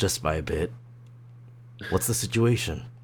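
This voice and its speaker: Using a put-on character voice, a man speaks at a moderate pace, raspy and very deep in pitch, over clear background noise. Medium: virtual streamer. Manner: calm, soothing.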